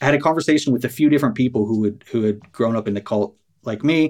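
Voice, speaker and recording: In an American accent, an ordinary speaking voice runs at a fairly quick pace with ordinary pitch variation. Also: man. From New York, US East Coast. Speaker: podcast host, former cult member. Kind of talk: interview.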